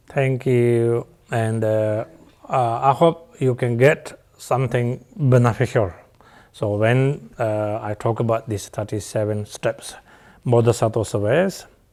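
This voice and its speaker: A man at medium pitch and a very slow pace, with long, frequent pauses and ordinary pitch variation, on a very clean recording with a silent background. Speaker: Buddhist teacher. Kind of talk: dharma teaching. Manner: halting with many fillers.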